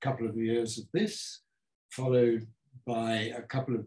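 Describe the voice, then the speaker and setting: Dark, mellow tone from a man against a quiet background. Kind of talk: lecture. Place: home room. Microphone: camera far.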